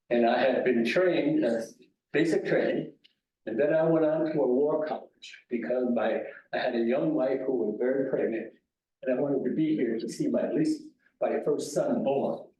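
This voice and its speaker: With audible room echo, a man speaks in an American accent at a moderate pace. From San Francisco, US West Coast. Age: 90s. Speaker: war veteran. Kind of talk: talk to veterans club meeting. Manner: halting.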